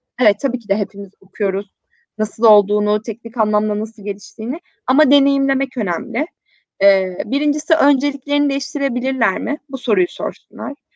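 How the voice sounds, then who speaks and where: An ordinary speaking voice moves at a fairly quick pace with ordinary pitch variation, the sound dry and close with no echo. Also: woman, fairly high pitch for a woman. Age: 20s. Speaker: social responsibility platform founder. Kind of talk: live-stream interview.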